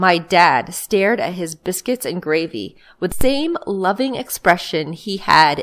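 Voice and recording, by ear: Lively intonation marks this natural voice reading aloud.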